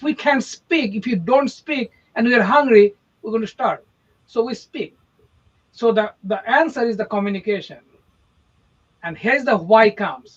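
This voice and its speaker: An extremely high-pitched man talks at a moderate pace with an Indian accent. He shows ordinary pitch variation and takes long, frequent pauses. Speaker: podcast co-host, real estate marketer. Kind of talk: casual podcast chat. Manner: animated.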